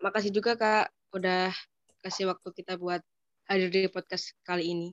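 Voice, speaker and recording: A woman speaks in an unremarkable speaking voice at a moderate pace, her pitch medium and her intonation fairly even. The sound is dry and close, with no echo. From East Java, Ponorogo. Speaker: university student. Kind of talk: casual interview.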